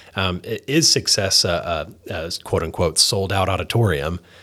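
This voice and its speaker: The recording is very clean, and its background is silent. Talking proceeds at a moderate speed. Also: man. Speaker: comedian and minister. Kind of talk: casual chat. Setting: studio.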